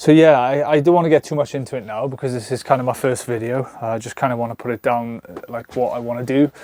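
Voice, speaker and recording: A dark, mellow tone with a Welsh accent. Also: man. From South Wales, near Bridgend. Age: 30s. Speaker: vanlife vlogger. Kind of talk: casual vlog monologue. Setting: alone talking to camera. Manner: halting, many fillers; animated.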